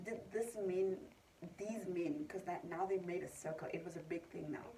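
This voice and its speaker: A somewhat breathy, dark and mellow voice at a moderate pace, with ordinary pitch variation and light background noise. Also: woman. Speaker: vlogger. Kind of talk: casual vlog chat. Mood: upset, recounting harassment. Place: home room. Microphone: phone near.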